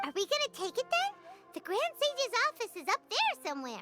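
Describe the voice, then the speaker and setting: A squeaky put-on character voice at an extremely high pitch, with very wide pitch swings and a fairly quick pace. Loud music plays in the background. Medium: video game. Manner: excitable, blunt.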